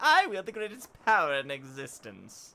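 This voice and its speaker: A man talks at a moderate pace in a put-on character voice. His pitch sits high. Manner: maniacal, grandiose.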